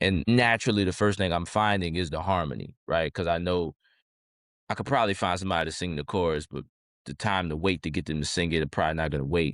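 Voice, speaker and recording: On a very clean recording with a silent background, a man with an American accent and a very deep, low pitch talks at a very fast pace with ordinary pitch variation. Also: dry, close sound with no echo. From New Orleans, Louisiana (uptown). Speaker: rapper. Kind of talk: interview. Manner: casual, halting.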